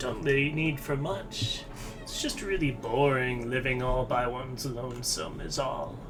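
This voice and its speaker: Over loud background noise, a man does a put-on character voice at medium pitch and a moderate pace. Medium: game stream. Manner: sweet, calls everyone dearie.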